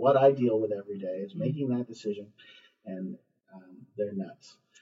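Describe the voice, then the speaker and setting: Somewhat breathy, a man talks at a fairly quick pace and medium pitch. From US West Coast, Los Angeles area. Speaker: school superintendent. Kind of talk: interview. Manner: frequent fillers and self-repetition.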